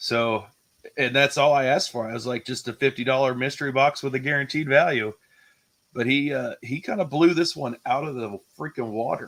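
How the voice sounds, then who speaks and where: With a normal speaking voice, a man talks at a fairly quick pace and medium pitch with ordinary pitch variation. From New Orleans, US South. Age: 30s. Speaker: YouTube collectibles streamer. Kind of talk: casual chat. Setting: live stream.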